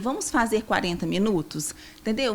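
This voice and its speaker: A woman with a strong Minas Gerais accent talks at a moderate pace with lively intonation amid noticeable background noise. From Minas Gerais, Brazil. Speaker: nutritionist. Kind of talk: podcast interview.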